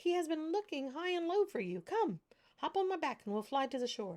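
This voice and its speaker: A woman uses a put-on character voice that is squeaky and pitched extremely high. She speaks at a fairly quick pace. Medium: read story. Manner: mocking; warm, eager to help.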